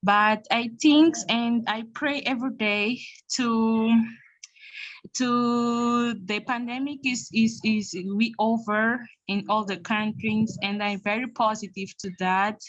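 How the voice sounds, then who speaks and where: A woman's fairly high, somewhat breathy voice with a non-native accent, very slow pace and fairly even intonation, over a quiet background. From Mozambique. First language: Portuguese. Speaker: youth leadership programme participant. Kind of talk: testimony. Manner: halting.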